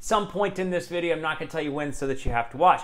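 A man is speaking. His pitch is high, with ordinary variation. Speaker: fitness tech reviewer. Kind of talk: tech review talk. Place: home room. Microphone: lapel.

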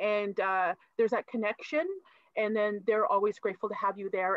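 A woman with a normal speaking voice and a Canadian accent, fairly high in pitch, at a fairly quick pace. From Manitoulin Island, Ontario. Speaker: lawyer. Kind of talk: panel discussion. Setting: video call.

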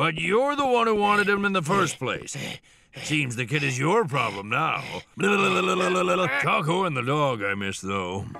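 A man puts on a gruff character voice, fairly high in pitch with very wide pitch swings. He delivers it at a fairly slow pace. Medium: cartoon. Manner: gruff, strict, sarcastic.

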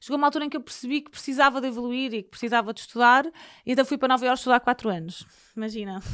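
Against a quiet background, a woman talks at a very fast pace with a high pitch and ordinary pitch variation. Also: big swings in loudness. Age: 30s. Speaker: TV presenter; podcast guest, TV presenter. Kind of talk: casual interview chat. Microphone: studio mic.

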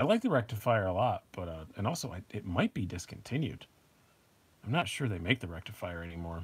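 A man's somewhat breathy voice with lively intonation at a fairly quick pace. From upstate New York. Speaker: knife review channel host. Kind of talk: casual live stream chat. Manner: casual, frequent fillers and repetitions.

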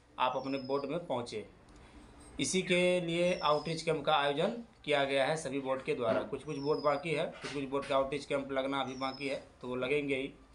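Over light background noise, a man talks at a moderate pace with fairly even intonation. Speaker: exam update vlogger. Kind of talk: casual vlog chat. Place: home room. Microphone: phone near.

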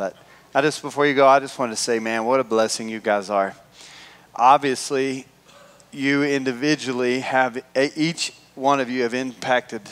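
A man at a moderate pace with ordinary pitch variation. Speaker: pastor. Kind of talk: sermon. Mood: warm, grateful. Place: church.

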